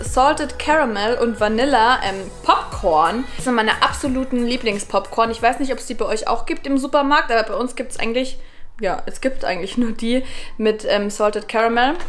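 A woman's high-pitched voice at a moderate pace, with faint music in the background. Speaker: vlogger. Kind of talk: casual vlog chat. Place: home room. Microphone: phone near.

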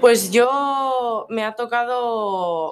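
Here a woman speaks with ordinary pitch variation. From Navarre, Spain (La Ribera area); Navarre, Spain. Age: young. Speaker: student; interviewee. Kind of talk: interview. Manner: halting, many fillers and repeated words. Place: classroom.

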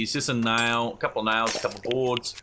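Over noticeable background noise, a man talks in an Australian accent. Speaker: gaming YouTuber. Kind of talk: let's play commentary. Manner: casual, chatty.

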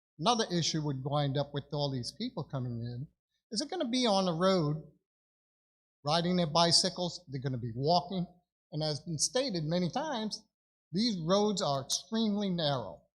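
A man with a New York accent speaks in a high voice. His intonation is lively and his pace moderate. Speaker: public commenter. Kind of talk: public comment at meeting.

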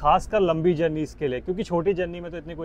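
Over light background noise, a man speaks at a fairly quick pace in a high pitch, with a dry sound and no echo. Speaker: travel vlogger. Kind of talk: casual vlog chat. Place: bus. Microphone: phone near.

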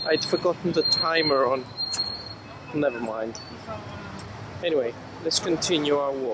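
At a moderate pace, the voice sounds dry with no echo under loud background noise. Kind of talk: casual vlog chat. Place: street. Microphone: phone near.

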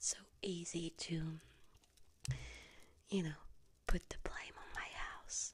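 A woman whispers at a very slow pace. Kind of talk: emotional monologue addressed to camera. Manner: soft close ASMR roleplay voice, reproachful. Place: home room.

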